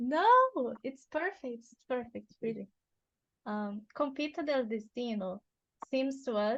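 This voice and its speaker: A woman with a fairly high pitch speaks with a Portuguese accent. She talks at a fairly slow pace. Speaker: interviewer. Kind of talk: interview.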